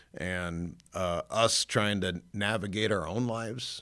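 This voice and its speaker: This man has a very deep, low pitch. He talks with a Chicago accent and fairly even intonation. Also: very clean recording, silent background. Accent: Inland North American (Chicago area). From northern Illinois. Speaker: pastor. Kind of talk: testimony. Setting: studio.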